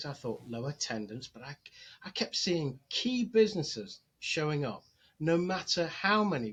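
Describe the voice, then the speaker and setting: Loudness swings widely as a man speaks at a moderate pace and a fairly high pitch, his pitch swinging very wide. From England, Nottingham. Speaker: chamber of commerce executive director. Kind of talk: podcast interview. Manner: halting, many fillers.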